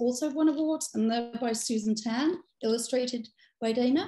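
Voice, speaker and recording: A woman speaks with an English accent at a moderate pace. Her pitch is high, with ordinary variation. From England. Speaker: children's workshop presenter; presenter. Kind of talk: hosting a live workshop. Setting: video call. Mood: warm, friendly. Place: home room. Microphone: video call.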